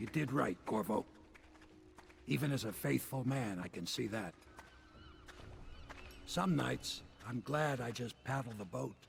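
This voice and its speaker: A raspy, put-on character voice with very wide pitch swings, a moderate pace, long, frequent pauses and clear background noise. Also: man, medium pitch for a man. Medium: video game. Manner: plainspoken.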